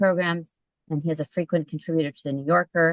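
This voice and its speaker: A woman with a normal speaking voice talks at a fairly quick pace and a fairly low pitch. The sound is dry and close, with no echo. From Canada (Montreal). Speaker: event host and author. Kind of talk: speaker introduction.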